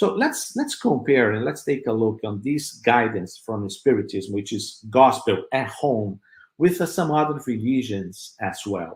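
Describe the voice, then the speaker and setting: A man talks at a fairly slow pace with hardly any pauses, his voice somewhat breathy. His pitch is medium and his intonation lively. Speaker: spiritist speaker. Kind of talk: virtual religious talk. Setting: web radio / online broadcast. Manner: halting, many fillers.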